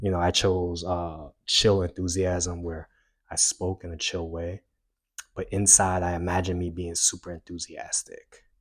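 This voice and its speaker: Over a quiet background, a man with a very deep, low pitch speaks in a somewhat breathy, flat monotone at a moderate pace. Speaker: self-help youtuber. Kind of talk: tutorial. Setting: home recording with mic.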